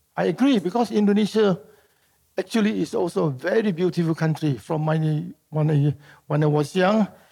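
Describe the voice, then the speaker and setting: The voice has a dark, mellow tone in a very clean recording with a silent background. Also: man. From Singapore. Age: 80s+. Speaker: artist. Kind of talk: live public conversation. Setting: stage with audience. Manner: halting.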